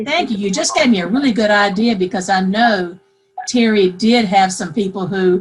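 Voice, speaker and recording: A woman speaks with a South Carolina accent at a medium pitch. Her pace is moderate and her pitch varies in an ordinary way. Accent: Southern US (South Carolina). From US South, South Carolina. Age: 60s. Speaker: pet owner participant. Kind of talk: casual group call chat.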